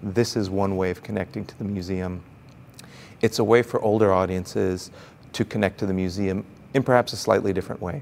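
A man with an American accent has a normal speaking voice at a fairly low pitch. His pace is fairly quick, with ordinary pitch variation. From mixed: Brazil, Chile, Austria, United States. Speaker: museum executive. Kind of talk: interview.

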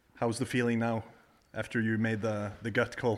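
A man's medium-pitched voice with a Norwegian accent and flat, monotone intonation. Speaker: golf podcast host. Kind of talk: casual interview. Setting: in a house.

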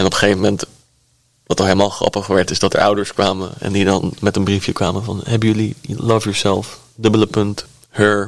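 A man's fairly low voice, monotone and flat in intonation, at a fairly quick pace. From Netherlands, Delft. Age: 20s. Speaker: record label manager and band musician. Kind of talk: interview conversation.

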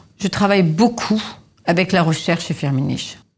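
A woman with a somewhat breathy voice talks at a moderate pace with ordinary pitch variation. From Lebanon (Beirut). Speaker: perfumer. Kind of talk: interview. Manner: hesitant with fillers.

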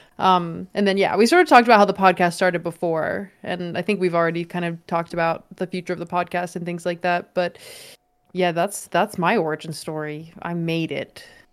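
A woman with an unremarkable speaking voice talks fairly quickly at a fairly low pitch, her intonation fairly even, in a very clean recording with a silent background. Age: 20s. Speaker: game streamer and YouTuber. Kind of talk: casual chat.

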